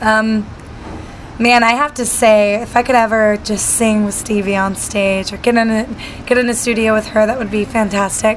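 The speaker has an American accent and keeps a moderate pace. Room echo is audible, and background noise is noticeable. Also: woman. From Utah, then Southern California. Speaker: singer-songwriter. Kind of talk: casual interview. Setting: backstage at a music event. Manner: hesitant fillers, many ums.

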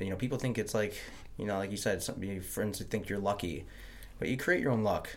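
Heard with audible room echo, a man with an American accent speaks at a fairly quick pace, his fairly low pitch showing ordinary pitch variation. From Montana. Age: 30s. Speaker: podcast host. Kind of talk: casual chat.

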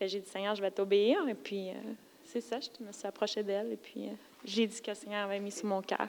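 Using an unremarkable speaking voice at medium pitch, a woman keeps her intonation fairly even and moves at a fairly quick pace. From Quebec, Lac-Saint-Jean. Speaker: churchgoer. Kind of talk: testimony. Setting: church.

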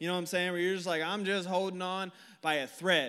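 A man with an American accent speaks in an animated tone at a high pitch. Audible room echo surrounds his voice. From Northern California (Tracy). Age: 20s. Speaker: youth pastor. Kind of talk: sermon.

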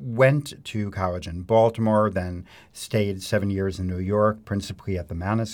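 A man speaks in an ordinary speaking voice with an American accent, fairly low in pitch and at a fairly slow pace. His intonation stays fairly even, and the recording is very clean with a silent background. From Chicago suburbs, US Midwest. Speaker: harpsichordist. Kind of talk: interview.

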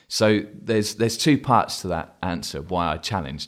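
On a very clean recording with a silent background, a man with an English accent speaks at a fairly quick pace in a fairly low voice with lively intonation. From England. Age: 40s. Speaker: advertising creative director. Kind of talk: podcast interview.

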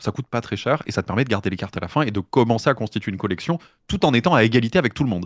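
A man with a fairly low pitch and lively intonation talks at a very fast pace, in a very clean recording with a silent background and a dry, close sound with no echo. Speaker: streamer and podcaster. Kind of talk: casual chat.

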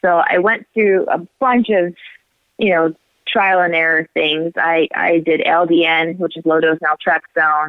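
Speaking with an American accent, a woman uses an ordinary speaking voice at a fairly low pitch. Her loudness stays very even. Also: fairly slow pace. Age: 40s. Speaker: multiple sclerosis patient. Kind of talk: interview. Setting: phone call.

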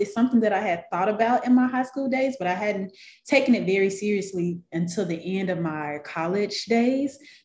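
Somewhat breathy voice in an American accent at a moderate pace. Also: woman. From US South, Memphis, Tennessee. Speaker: newspaper newsletter coach. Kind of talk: interview.

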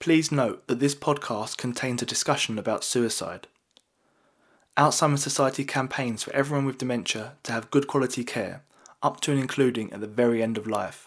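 This man has an unremarkable speaking voice with a medium pitch and fairly even intonation. He talks at a fairly quick pace on a very clean recording with a silent background. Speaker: podcast narrator and writer. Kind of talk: scripted narration.

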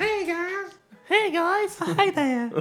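A woman's put-on character voice with an extremely high pitch and a Southern accent

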